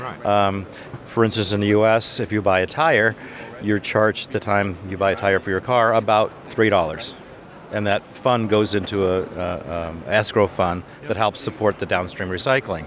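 A man's fairly low voice with ordinary pitch variation, at a moderate pace, over noticeable background noise. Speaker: solar panel recycling businessman. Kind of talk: interview.

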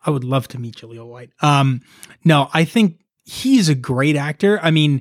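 At a moderate pace, a man with an ordinary speaking voice talks in a fairly high pitch. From Canada, Toronto area. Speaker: musician. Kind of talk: casual chat.

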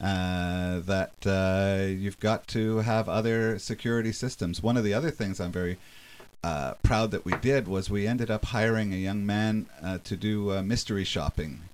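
With ordinary pitch variation, a man talks in an ordinary speaking voice. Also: fairly low pitch for a man, moderate pace. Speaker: business owner, entrepreneur. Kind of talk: radio interview.

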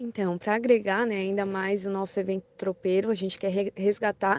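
At a moderate pace, a plain, everyday voice comes through with a dry, close sound, no echo and a quiet background. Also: woman. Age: 20s. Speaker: tourism association member. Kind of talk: radio interview.

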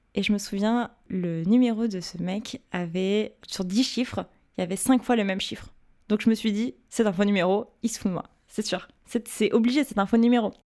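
A woman talks at a moderate pace and medium pitch, her dark, mellow tone showing ordinary pitch variation. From Paris, France. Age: 20s. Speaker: digital communications project manager. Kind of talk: personal storytelling. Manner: hesitant.

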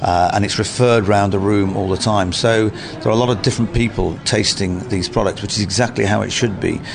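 A man's fairly low voice with ordinary pitch variation, at a fairly quick pace with hardly any pauses, over noticeable background noise. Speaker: food critic and head judge. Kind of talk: radio interview.

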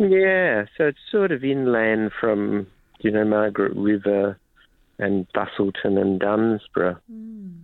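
Speaking at a very slow pace, a man talks with an Australian accent. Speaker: wildflower reporter. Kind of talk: radio interview. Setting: remote line into radio studio.

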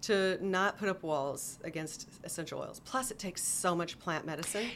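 With a normal speaking voice, a woman talks at a fairly quick pace in a medium pitch, using ordinary pitch variation. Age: 50s. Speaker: clinical herbalist. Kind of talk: casual interview.

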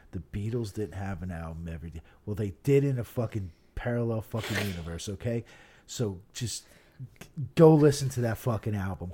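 Speaking at a fairly quick pace, a man with a fairly low pitch and a dark, mellow, somewhat breathy tone uses lively intonation and big swings in loudness. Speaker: co-host. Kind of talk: casual banter. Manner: joking, profane.

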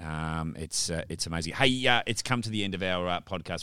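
A man with an Australian accent, very deep, low pitch and a bright, sharp tone at a fairly quick pace, on a very clean recording with a silent background. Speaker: podcast host, media agency director. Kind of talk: casual interview.

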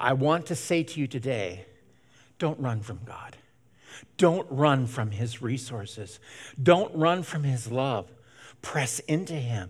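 A medium-pitched man with an American accent, somewhat breathy, at a very slow pace with long, frequent pauses, lively intonation and big swings in loudness, on a very clean recording with a silent background. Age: 70s. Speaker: pastor. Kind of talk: sermon. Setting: church. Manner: halting with frequent fillers.

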